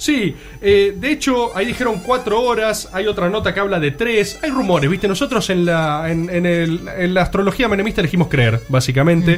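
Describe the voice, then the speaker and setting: A man with a high-pitched voice and lively intonation, speaking at a moderate pace with hardly any pauses. His loudness stays very even over noticeable background noise. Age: 20s. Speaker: radio podcast co-host. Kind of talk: casual panel chat.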